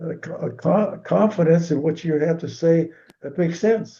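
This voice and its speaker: A man talks at a fairly slow pace in a dark, mellow tone. His voice is somewhat breathy, with ordinary pitch variation. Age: 90s. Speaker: swim coach. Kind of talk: interview. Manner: halting.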